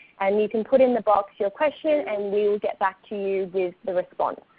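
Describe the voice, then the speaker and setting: Speaking at a moderate pace with an Australian accent, a woman uses a fairly high pitch and ordinary pitch variation. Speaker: communications staff member. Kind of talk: webinar presentation. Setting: online webinar.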